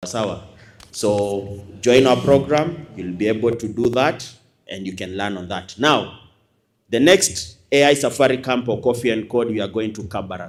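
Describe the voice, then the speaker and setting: A man's loudness swings widely, with audible room echo around him. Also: medium pitch for a man, ordinary pitch variation, moderate pace. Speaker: university lecturer and academy principal. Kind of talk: closing speech to audience. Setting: stage with audience. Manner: animated.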